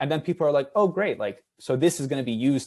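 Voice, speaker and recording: A man talks very fast with lively intonation against a quiet background. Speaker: academic researcher, roundtable panelist. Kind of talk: academic roundtable discussion.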